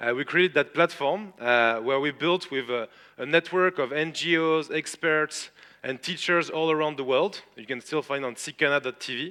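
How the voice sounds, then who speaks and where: A man speaks in a fairly high pitch with a strong French accent, ordinary pitch variation and a bright, sharp tone. His moderate pace comes through in a dry, close sound with no echo. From France. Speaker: tech entrepreneur and conference speaker. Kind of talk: conference talk. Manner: hesitant, many filler sounds.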